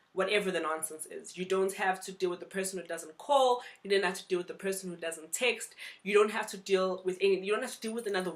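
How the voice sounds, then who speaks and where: Noticeable background noise is present. A woman with a medium pitch talks at a very fast pace. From South Africa. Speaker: vlogger. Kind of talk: vlog advice talk.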